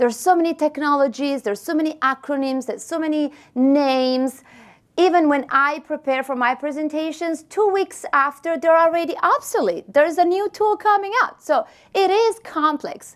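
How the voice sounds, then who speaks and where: With an Italian accent, a woman speaks at a high pitch. Her intonation is lively and her pace moderate. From Italy. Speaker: marketing expert, keynote speaker. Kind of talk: keynote talk. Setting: stage with audience.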